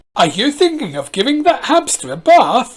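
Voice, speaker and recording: A woman uses a put-on character voice, high in pitch and full of very wide pitch swings. Her pace is moderate. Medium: read story.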